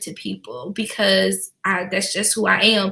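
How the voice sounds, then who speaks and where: The voice has a bright, sharp tone with vocal fry. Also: woman. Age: 30s. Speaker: small business owner. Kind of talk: casual chat.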